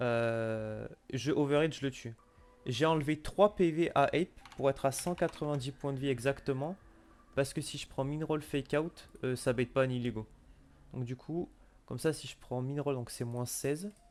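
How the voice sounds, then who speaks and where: Moderate-paced speech from a man, an unremarkable speaking voice, fairly high in pitch with ordinary pitch variation. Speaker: Pokémon competitive player. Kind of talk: casual chat.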